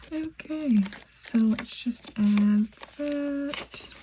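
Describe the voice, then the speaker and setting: There is noticeable noise in the background. Through it, a woman talks. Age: 20s. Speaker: budgeting YouTuber. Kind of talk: casual tutorial.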